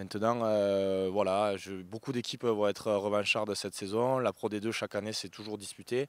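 A man with a fairly low pitch talks at a moderate pace in a monotone, flat intonation, hardly pausing, on a very clean recording with a silent background. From southern France, Béziers. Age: 30s. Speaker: professional rugby player. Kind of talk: interview. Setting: outdoors at stadium. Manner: halting, many fillers.

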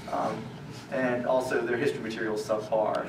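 Against noticeable background noise, a man speaks at a fairly quick pace. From Louisiana. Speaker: activist. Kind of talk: public talk. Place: hall.

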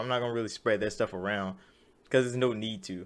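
A man's voice at medium pitch. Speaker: gaming news YouTuber. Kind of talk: angry rant, profane and sarcastic, venting about leakers. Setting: solo video commentary. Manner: heated, fast and loud, swearing and exasperated; casual, conversational, filler-heavy. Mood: dismissive of fanboys, amused. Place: home room. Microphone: webcam.

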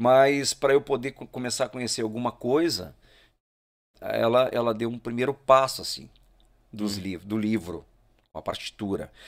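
A man speaks at a moderate pace and medium pitch, with ordinary pitch variation. Long, frequent pauses break up his speech against a quiet background. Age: 40s. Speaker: musician; podcast guest. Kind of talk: casual chat. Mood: relaxed storytelling. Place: studio. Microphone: studio mic.

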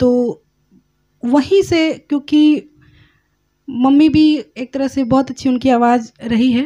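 Against a quiet background, a woman with a high pitch and a dark, mellow tone speaks at a very slow pace with long, frequent pauses. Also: fairly even intonation. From Delhi, family from Madhubani, Bihar; Delhi. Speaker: singer; podcast guest. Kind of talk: interview. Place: studio. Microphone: studio mic.

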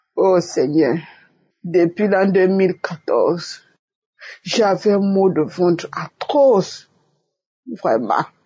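Very slow delivery with long, frequent pauses, very even loudness and ordinary pitch variation. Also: woman, medium pitch for a woman. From Togo. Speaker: church member giving testimony. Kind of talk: testimony.

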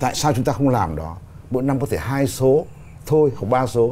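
Dark and mellow in tone, the voice shows vocal fry over light background noise. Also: man. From Vietnam. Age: 60s. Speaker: poet and writers' association leader; poet. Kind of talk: studio interview. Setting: studio. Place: studio.

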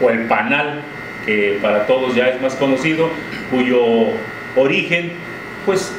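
A man talks at a fairly slow pace. Room echo is audible, and there is noticeable background noise. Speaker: interviewer, show host. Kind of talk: interview introduction. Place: office.

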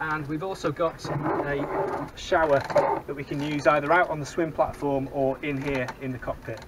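Loud background noise runs under the recording. A man talks at a moderate pace. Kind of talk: tour guide vlog. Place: boat. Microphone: phone near.

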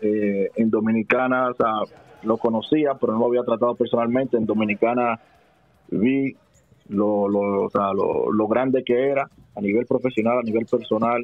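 A man talks at a medium pitch and a moderate pace. His intonation is monotone and flat, and his loudness stays very even. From Dominican Republic, Santo Domingo. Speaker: professional basketball player. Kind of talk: interview. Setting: phone call.

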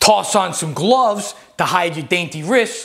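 With lively intonation, a man speaks at a moderate pace over a quiet background. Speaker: comedy video host. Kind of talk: comedic scripted monologue. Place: home room. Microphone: lapel.

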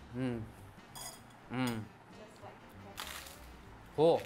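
Music is audible in the background. Over it, the man's pitch varies in an ordinary way. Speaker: travel presenter. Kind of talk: casual on-camera talk. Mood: pleased, relaxed. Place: home room.

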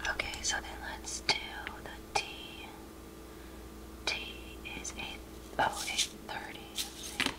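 Speech comes at a very slow pace with long, frequent pauses over noticeable background noise. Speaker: ASMR creator. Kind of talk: ASMR craft narration. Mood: calm, relaxed.

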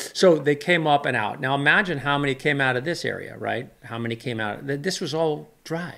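Against a quiet background, a man with a Californian accent talks at a moderate pace with lively intonation. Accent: Californian American. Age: 60s. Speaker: weather channel presenter and YouTuber. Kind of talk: casual podcast storytelling. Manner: conversational, rambling, halting. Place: office. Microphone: studio mic.

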